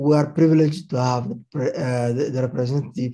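The voice is somewhat breathy, with a dark, mellow tone. Pitch varies in an ordinary way, and the background is quiet. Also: man. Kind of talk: formal address. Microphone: video call.

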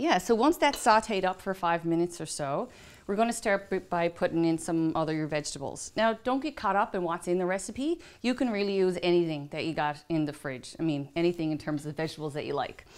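A woman speaks at a fairly low pitch. Her pace is fairly quick. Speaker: chef host. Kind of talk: cooking tutorial. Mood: warm, relaxed. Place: kitchen.

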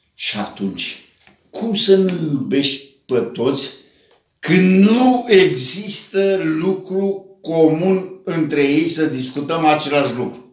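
A man's high-pitched voice at a very slow pace, with audible room echo and a quiet background. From Romania, Brăila; Romania. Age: 80s+. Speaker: writer. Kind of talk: casual monologue to camera. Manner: animated. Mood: warm, joking. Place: home room. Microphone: camera far.

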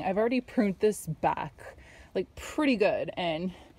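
A woman's dark, mellow tone comes through a dry sound with no echo as she speaks at a moderate pace. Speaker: home gardener vlogger. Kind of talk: casual vlog chat. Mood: cheerful, relaxed. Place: garden. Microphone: phone near.

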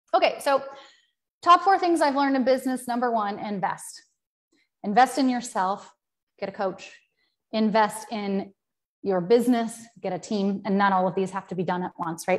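The intonation is lively and the pace moderate, with long, frequent pauses against a quiet background. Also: woman, fairly high pitch for a woman. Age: 40s. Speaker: business coach. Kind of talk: live-stream talk. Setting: live video stream. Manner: casual, filler-heavy. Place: home room. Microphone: earbuds.

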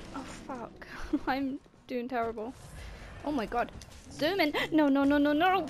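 Amid noticeable background noise, a woman with a high pitch and ordinary pitch variation talks at a moderate pace with long, frequent pauses. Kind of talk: gaming commentary.

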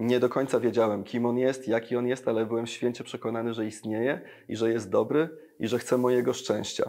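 A man talks at a fairly quick pace in a medium pitch. His tone is dark and mellow. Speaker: engineer and evangelist, worship singer; evangelist. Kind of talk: interview testimony. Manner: energetic. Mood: warm, personal testimony. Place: studio. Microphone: lapel.

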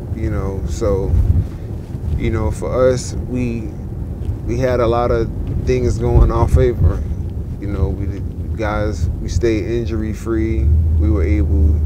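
There is loud background noise as a man speaks with long, frequent pauses. The sound is dry, with no echo. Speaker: interviewee. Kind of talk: interview answer. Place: car.

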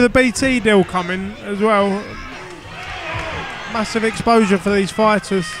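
A man with a high voice speaks at a moderate pace and with fairly even intonation, his dry, echo-free sound set against crowd noise in the background. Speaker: boxing commentator. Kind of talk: live boxing commentary. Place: hall.

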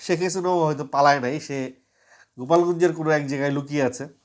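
In a normal speaking voice, a man talks at a fairly high pitch against a quiet background. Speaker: political commentary vlogger. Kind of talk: monologue to camera.

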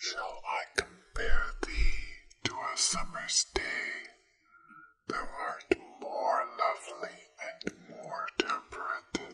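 Very slowly, with long, frequent pauses, someone is whispering. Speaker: ASMR creator. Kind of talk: poetry reading. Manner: whispered; relaxing, soft. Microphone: studio mic.

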